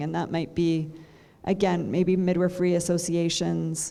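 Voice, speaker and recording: Audible room echo surrounds a woman's fairly low voice. Her tone is dark and mellow, and her pace moderate. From Canada. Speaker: midwifery lecturer. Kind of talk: guest lecture Q&A.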